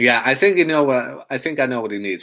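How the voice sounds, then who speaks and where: A man's pitch swings very widely on a very clean recording where the background is silent. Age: 30s. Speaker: podcast co-host. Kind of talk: casual chat.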